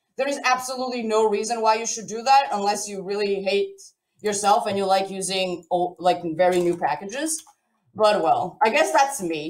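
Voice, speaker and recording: In a room with audible echo, a woman with a Portuguese accent speaks at a moderate pace with a medium pitch and lively intonation. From Portugal. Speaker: software developer, conference speaker. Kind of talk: live coding tutorial at online conference. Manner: casual, chatty.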